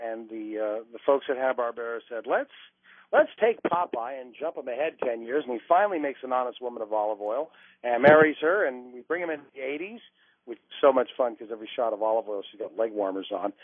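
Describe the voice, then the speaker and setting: Talking at a fairly quick pace, a man with a plain, everyday voice shows ordinary pitch variation and big swings in loudness. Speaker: voice actor; former stand-up comedian. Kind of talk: interview answer. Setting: phone line.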